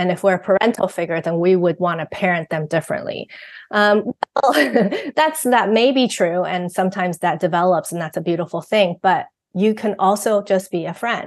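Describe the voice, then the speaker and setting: A woman at a medium pitch, fairly quick pace and ordinary pitch variation, in a dry, close sound with no echo. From Taiwan. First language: Mandarin. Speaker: parenting author and guest co-host. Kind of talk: podcast conversation.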